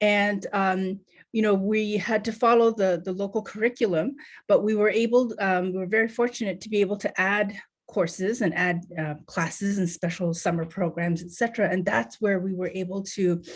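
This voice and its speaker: A woman talks at a moderate pace and medium pitch with ordinary pitch variation, against a quiet background. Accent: Canadian. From Canada, Northern Ontario. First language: Tibetan. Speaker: nonprofit co-founder, panel speaker. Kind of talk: panel presentation. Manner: halting, many fillers.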